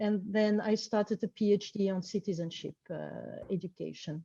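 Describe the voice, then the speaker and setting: A woman's medium-pitched voice with a dark, mellow tone, dry and close with no echo. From French, grew up abroad in various countries. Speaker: researcher in education. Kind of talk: interview. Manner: halting, many fillers.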